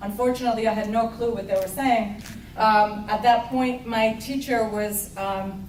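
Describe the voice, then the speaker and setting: Noticeable background noise and audible room echo accompany a woman's fairly high voice. She keeps a moderate pace and a flat, monotone intonation. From Uruguay. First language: Spanish. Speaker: award recipient, painter. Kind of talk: acceptance speech.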